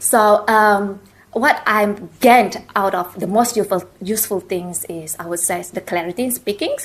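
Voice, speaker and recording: A woman's medium-pitched voice at a moderate pace, with ordinary pitch variation. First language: not English; English is her third language. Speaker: university alumna panelist. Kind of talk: panel discussion. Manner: halting, many fillers.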